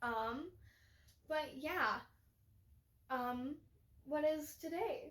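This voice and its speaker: A loud woman with a high pitch talks at a very slow pace, using lively intonation and long, frequent pauses. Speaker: podcast co-host. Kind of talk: casual chat.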